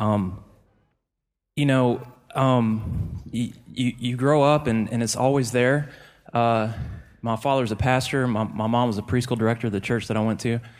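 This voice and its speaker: Fairly even intonation at a moderate pace, broken by long, frequent pauses. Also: man, medium pitch for a man. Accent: American. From Georgia, US (Forsyth area). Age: 30s. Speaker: church media staff member. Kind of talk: personal testimony.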